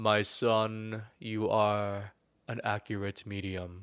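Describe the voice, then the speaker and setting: Putting on a character voice, a man booms at a fairly low pitch in a flat, monotone delivery at a very slow pace. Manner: booming.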